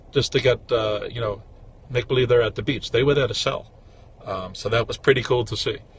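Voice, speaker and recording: Somewhat breathy and at medium pitch, a man moves at a fairly quick pace with fairly even intonation. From New York City, Brooklyn. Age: 50s. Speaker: flea market vendor and livestreamer. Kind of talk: casual livestream talk. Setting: in a car, driving. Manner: casual, with many fillers.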